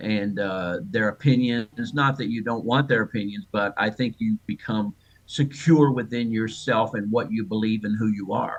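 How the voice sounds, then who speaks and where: At a moderate pace with hardly any pauses, a man talks in a normal speaking voice. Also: medium pitch for a man, ordinary pitch variation. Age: 60s. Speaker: author of a church memoir. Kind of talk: interview.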